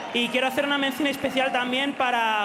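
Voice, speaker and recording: A man's raised, projected voice at a very fast pace, fairly even in intonation, with audible room echo. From Spain. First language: Spanish. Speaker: esports pro player. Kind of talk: post-match interview. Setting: stage with audience. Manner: halting.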